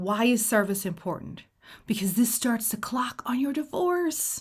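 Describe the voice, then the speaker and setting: Somewhat breathy and animated, the voice moves at a fairly slow pace with lively intonation. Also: woman. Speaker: divorce mediator. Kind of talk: informal tutorial. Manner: casual, animated.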